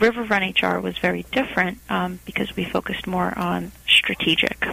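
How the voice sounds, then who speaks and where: Noticeable background noise fills the recording. A woman's speech proceeds at a moderate pace. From Portugal. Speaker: HR consultant, company founder. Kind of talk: interview.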